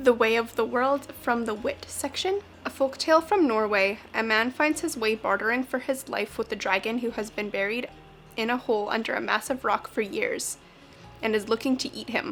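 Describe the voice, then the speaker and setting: Over noticeable background noise, a woman speaks in a fairly high voice with ordinary pitch variation. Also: moderate pace. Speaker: book vlogger. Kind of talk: casual talk to camera.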